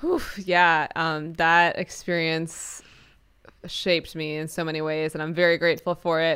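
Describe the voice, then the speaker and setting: Over a silent background in a very clean recording, a woman with an American accent speaks fairly slowly in a bright, sharp tone, her fairly low pitch held in monotone, flat intonation. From New York City. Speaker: singer-songwriter. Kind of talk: interview.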